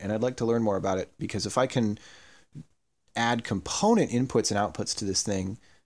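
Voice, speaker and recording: A man speaks at medium pitch. The recording is very clean, with a silent background. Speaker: electronics hobbyist YouTuber. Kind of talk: tutorial. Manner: fast; hesitant with many fillers.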